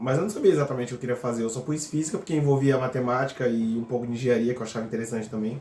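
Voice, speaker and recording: Somewhat breathy and medium in pitch, a man talks at a very fast pace with ordinary pitch variation. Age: 30s. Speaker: physics PhD student. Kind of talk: casual interview.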